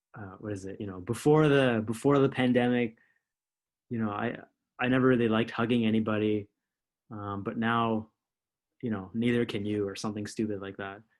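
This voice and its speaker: A man talks fairly quickly at a medium pitch, with fairly even intonation. His loudness swings widely, and he takes long, frequent pauses. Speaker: podcast host. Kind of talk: podcast interview questions.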